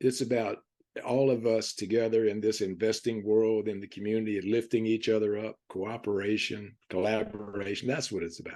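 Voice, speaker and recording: A man's fairly low-pitched voice in an American accent, dark and mellow in tone, monotone and flat in intonation, at a moderate pace. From Virginia, US South (Roanoke). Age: 70s. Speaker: real estate investor, retired teacher. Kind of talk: casual interview.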